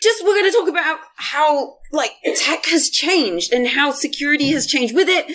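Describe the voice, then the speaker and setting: A woman's pitch swings very widely. Noticeable background noise sits behind her. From Yorkshire, northern England. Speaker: cloud security advocate. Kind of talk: conference talk. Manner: casual, filler-heavy.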